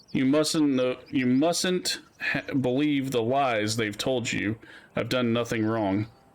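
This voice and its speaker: A man speaks in a put-on character voice at a fairly slow pace, with medium pitch and ordinary pitch variation. His voice sounds shaky. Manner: pleading, desperate.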